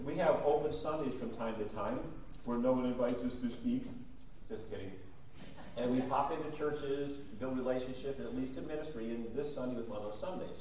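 Audible room echo and light background noise accompany a man talking at a fairly quick pace with ordinary pitch variation. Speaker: guest preacher. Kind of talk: sermon. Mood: warm, friendly. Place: church.

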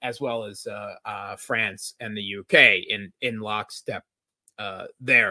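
Bright and sharp in tone, a man speaks with an American accent. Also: quiet background. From US, Scranton/Wilkes-Barre, Pennsylvania; Pennsylvania. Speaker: international relations analyst. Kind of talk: interview discussion. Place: home room.

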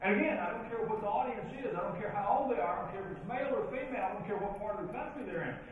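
A man's high-pitched voice at a very fast pace, with ordinary pitch variation, hardly any pauses, light background noise and strong room echo. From western Kentucky (Princeton, Caldwell County). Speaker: professional speaker and leadership trainer. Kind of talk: keynote speech. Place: hall.

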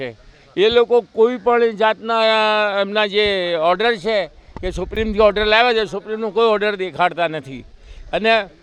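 A man talks with a high pitch. His pitch varies in an ordinary way. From Raikhad, Ahmedabad, India. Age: 70s. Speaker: resident tenant. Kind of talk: street interview.

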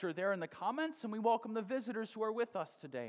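A man speaks very fast in a high voice. The background is quiet. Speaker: pastor. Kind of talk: worship welcome announcements. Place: church.

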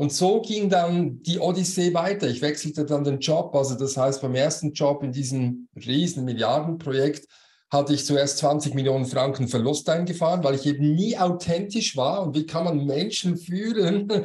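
A man with a dark, mellow tone and a fairly high pitch sounds somewhat breathy, speaking at a moderate pace with ordinary pitch variation and hardly any pauses over a quiet background. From Switzerland. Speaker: business coach and former manager; business coach. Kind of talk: interview. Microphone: video call.

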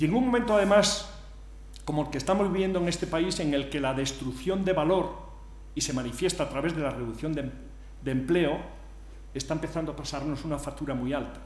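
A man talks at a fairly quick pace with a fairly high pitch and ordinary pitch variation. Long, frequent pauses break his speech, and room echo is audible. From Spain. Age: 60s. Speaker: engineer and entrepreneur; conference speaker. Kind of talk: conference talk. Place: hall. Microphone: podium.

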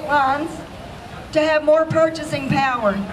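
A woman at a high pitch and a fairly quick pace, with crowd noise in the background. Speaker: rally speaker. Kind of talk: rally speech. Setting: outdoor protest rally. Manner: emphatic, rousing, declamatory. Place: open country.

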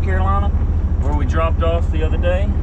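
The background noise is loud. Through it, a man speaks. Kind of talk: casual vlog chat. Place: car. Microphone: camera far.

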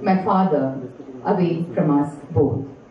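Light background noise and audible room echo accompany a woman's voice. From India, Chennai. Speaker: poet and professor. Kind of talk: poetry reading. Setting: live venue reading to an audience. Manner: measured, expressive, lyrical delivery. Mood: quiet, reflective, sorrowful. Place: hall.

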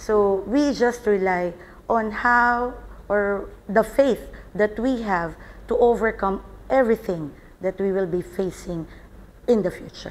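In a Filipino accent, a woman speaks at a fairly slow pace. Her pitch varies in an ordinary way, with long, frequent pauses. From Philippines. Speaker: salon owner and nurse. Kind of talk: interview. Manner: halting. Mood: earnest, reflective. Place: home room. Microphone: lapel.

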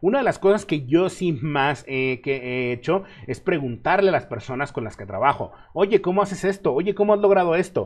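Over a quiet background, a man talks at a moderate pace. His high voice moves in very wide pitch swings. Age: 30s. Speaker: web developer and online instructor; online instructor. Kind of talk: live stream Q&A. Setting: live stream. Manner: casual. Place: home room.

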